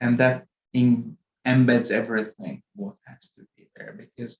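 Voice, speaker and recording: Here a man with a Hungarian accent speaks at a medium pitch. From Hungary. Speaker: corporate IT executive. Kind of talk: podcast interview.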